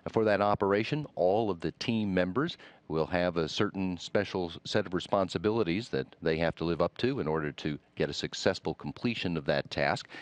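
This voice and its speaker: A man with a very deep, low voice talks at a fairly quick pace with ordinary pitch variation over a quiet background. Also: dry, close sound with no echo. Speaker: NASA public affairs commentator. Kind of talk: interview host questions.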